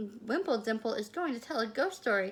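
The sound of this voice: The reading voice sounds unforced. Lively intonation marks the delivery.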